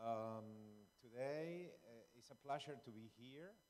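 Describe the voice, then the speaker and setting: A man speaks at a medium pitch with an Uruguayan accent. His pitch rises and falls in an ordinary way. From Uruguay, Maldonado. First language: Spanish. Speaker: lawyer and local storyteller. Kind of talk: public talk. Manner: halting.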